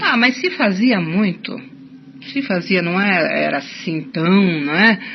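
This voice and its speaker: Speaking at a very slow pace with lively intonation, a woman with a medium-pitched voice is heard over noticeable background noise. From Curitiba, Brazil. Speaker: writer and folklorist. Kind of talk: radio interview answer.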